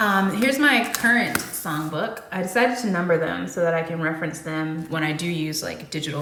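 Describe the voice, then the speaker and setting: Lively intonation marks this woman's fairly low voice at a moderate pace. Audible room echo and noticeable background noise are present. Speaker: singer-songwriter vlogger. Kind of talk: casual chat to camera between songs. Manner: casual, filler-heavy.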